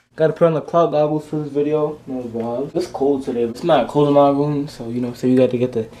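Monotone, flat intonation at a fairly quick pace, with a Rhode Island accent. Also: man. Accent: Rhode Island urban American English. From Providence, Rhode Island. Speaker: YouTuber. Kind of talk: casual talk to camera. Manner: casual, slangy. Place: home room. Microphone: webcam.

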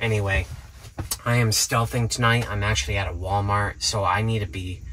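This man talks at a moderate pace with a fairly low pitch and a fairly bright tone. His pitch barely moves.

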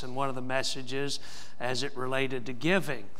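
A man talks at a moderate pace in a bright, sharp tone. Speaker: pastor. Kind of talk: church announcements. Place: church.

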